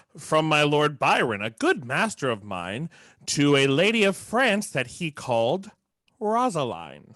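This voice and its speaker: A man puts on a character voice, fairly high in pitch with very wide pitch swings, at a fairly slow pace. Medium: stage play. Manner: jolly, bawdy.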